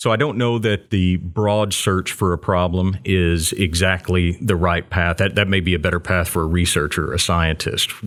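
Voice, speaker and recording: Speech in a slight Texan accent runs with hardly any pauses and fairly even intonation. Loudness is very even, on a very clean recording with a silent background. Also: man, very deep, low pitch for a man, moderate pace. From Texas (Waco). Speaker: entrepreneurship center director. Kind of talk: interview. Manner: consistent, polished delivery.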